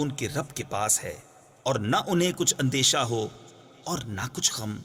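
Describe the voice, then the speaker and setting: Over music in the background, a man talks at a very slow pace with very wide pitch swings. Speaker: Urdu translation reader. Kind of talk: Quran translation reading.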